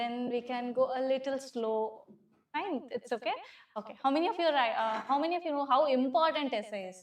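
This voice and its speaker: A loud woman with an Indian accent talks fairly quickly in a high pitch, with ordinary pitch variation. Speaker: civil service exam teacher. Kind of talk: classroom lecture. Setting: classroom with students.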